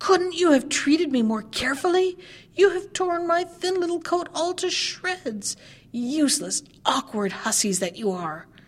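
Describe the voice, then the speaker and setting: A woman puts on a character voice. It comes out shrill and extremely high-pitched. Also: moderate pace. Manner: angry, scolding.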